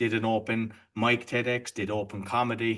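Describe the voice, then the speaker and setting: A man speaks with an Irish accent at medium pitch. His intonation is monotone and flat, and the background is quiet. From Ireland. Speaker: entrepreneur and podcaster. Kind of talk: podcast interview.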